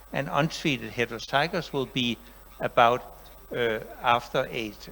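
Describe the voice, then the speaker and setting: This man speaks at a moderate pace with a medium pitch. His pitch varies in an ordinary way. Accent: Danish. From Denmark. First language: Danish. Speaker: professor. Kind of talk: lecture.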